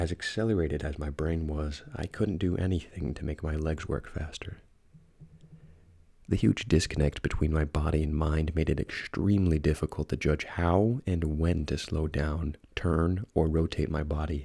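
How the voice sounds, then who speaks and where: Soft-spoken and somewhat breathy, a man speaks at a moderate pace with a very deep, low pitch, fairly even intonation and a dark, mellow tone. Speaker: ASMR creepypasta narrator. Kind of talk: horror story reading.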